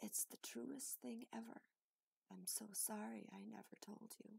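Wheezy, put-on character voice from a woman, very deep and low in pitch, at a moderate pace.

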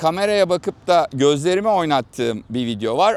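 Recorded dry and close with no echo, a man speaks at a moderate pace and a fairly high pitch with very wide pitch swings. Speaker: content creator demonstrating AI avatar tool. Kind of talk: unedited walking vlog tutorial. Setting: outdoors, walking. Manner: uneven, irregular while walking.

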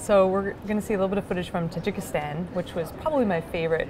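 Over noticeable background noise, a woman speaks with fairly even intonation. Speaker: interviewee. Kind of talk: interview answer. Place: hall.

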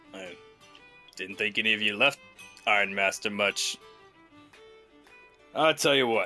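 In a put-on character voice, a man with a fairly low pitch speaks with long, frequent pauses over faint music in the background. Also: moderate pace. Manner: stern, threatening.

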